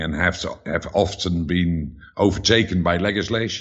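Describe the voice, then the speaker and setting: In a Dutch accent, a man with a very deep, low pitch speaks at a fairly slow pace with lively intonation. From Netherlands. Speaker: author. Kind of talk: interview.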